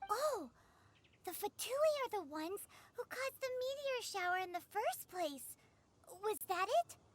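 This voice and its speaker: A female-sounding, put-on character voice at an extremely high pitch for a woman. The pace is moderate. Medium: video game. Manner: chirpy, third-person self-reference.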